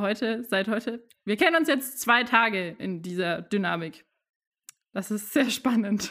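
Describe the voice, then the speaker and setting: Heard on a very clean recording with a silent background, a woman with an ordinary speaking voice talks at a fairly slow pace with lively intonation. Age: 20s. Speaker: management consultant, new co-host for a season. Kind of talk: casual chat.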